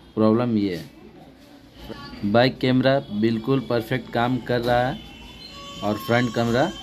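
A man's fairly even intonation is heard over noticeable background noise. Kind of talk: tutorial. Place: workshop. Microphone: phone near.

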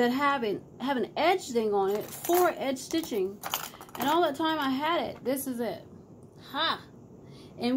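Through noticeable background noise, a woman talks with lively intonation. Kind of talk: casual vlog chat. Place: home room. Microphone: phone near.

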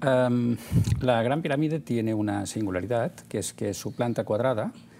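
A man with ordinary pitch variation, amid noticeable background noise. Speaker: guest. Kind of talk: interview answer. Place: studio. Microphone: lapel.

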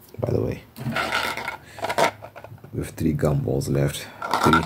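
Over loud background noise, a man speaks at a moderate pace in a very deep, low pitch with lively intonation. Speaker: ASMR creator. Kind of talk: ASMR ramble, casual talk to camera. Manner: reflective, conversational. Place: home room. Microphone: phone near.

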